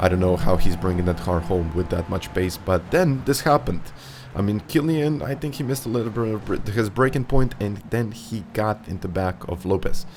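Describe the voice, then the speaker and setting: Speaking with a non-native accent, a man uses lively intonation at a moderate pace. His pitch sits fairly low. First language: not English. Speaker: sim racing YouTuber. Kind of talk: race commentary narration. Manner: animated.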